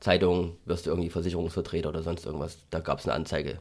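A man with a slight Saxon accent at a very fast pace, on a very clean recording with a silent background. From Saxony, Germany (Freital near Dresden). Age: 30s. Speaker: pharmacist and entrepreneur. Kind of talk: interview.

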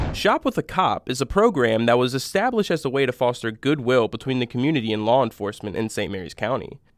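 A man speaks in a normal speaking voice at a fairly quick pace. The sound is dry and close with no echo, on a very clean recording with a silent background. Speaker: news presenter. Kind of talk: formal newsreading of local crime and community stories. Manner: formal; steady, even-paced.

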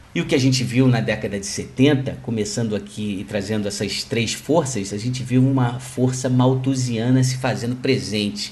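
In a room with audible echo, a man speaks at a moderate pace and medium pitch with fairly even intonation and hardly any pauses. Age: 40s. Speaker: financial market analyst. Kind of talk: solo market commentary podcast.

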